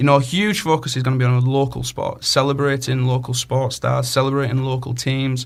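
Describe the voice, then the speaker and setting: A man's medium-pitched voice with a Cumbrian accent, fairly quick and flat in a monotone. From northern England, Cumbria. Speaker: community radio co-host, sports coordinator. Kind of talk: casual radio chat. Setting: radio studio.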